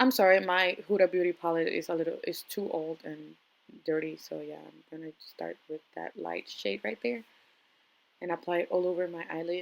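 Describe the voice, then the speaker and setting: A woman talks at a moderate pace with a non-native accent. Her loudness swings widely. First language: not English. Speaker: makeup artist vlogger. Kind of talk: makeup tutorial. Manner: casual, hesitant with fillers.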